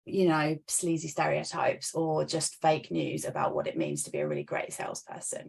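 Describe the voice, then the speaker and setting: A woman speaks with a London accent. She hardly pauses at all. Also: moderate pace. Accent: British, London. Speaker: sales and business mentor. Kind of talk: interview.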